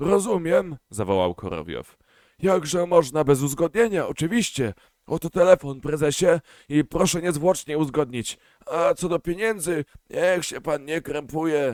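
A man's put-on character voice, hoarse and fairly high, at a moderate pace with a dry, close sound and no echo. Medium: read story. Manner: fawning, chattering.

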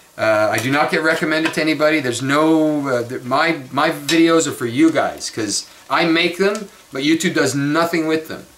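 A man with a fairly high pitch speaks at a moderate pace with ordinary pitch variation over light background noise. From Montreal, Canada; Quebec, Canada. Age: 50s. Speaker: vlogger. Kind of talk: casual monologue vlog. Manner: rambling, conversational. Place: kitchen. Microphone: webcam.

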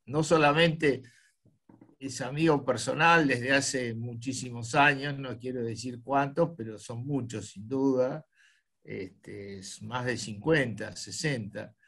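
Against a quiet background, a man speaks at a very slow pace with medium pitch, ordinary pitch variation and big swings in loudness. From Argentina, Buenos Aires. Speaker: club host. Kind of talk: casual chat. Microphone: video call.

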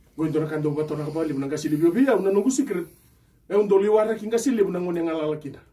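A man with a high voice and lively intonation, talking at a very fast pace. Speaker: pastor. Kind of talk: testimony. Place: studio.

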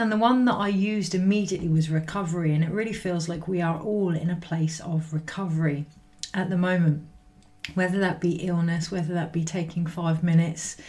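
A woman speaks at a fairly quick pace, her fairly low pitch held in a fairly even intonation. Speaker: spiritual energy reader. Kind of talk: casual spiritual reading talk. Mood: calm, reflective, some laughs. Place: home room. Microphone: webcam.

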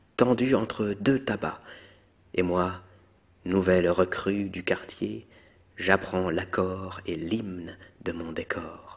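A soft-spoken man's very deep, low voice at a very slow pace, with long, frequent pauses. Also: ordinary pitch variation. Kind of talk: poetry reading; ASMR.

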